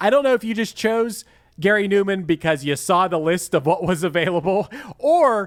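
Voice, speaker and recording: A man with a Pittsburgh accent at a moderate pace. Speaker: podcast host. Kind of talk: casual chat.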